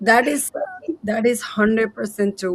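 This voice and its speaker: A fairly high-pitched woman's voice with a Nepali accent. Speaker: co-host. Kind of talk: live stream chat. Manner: halting.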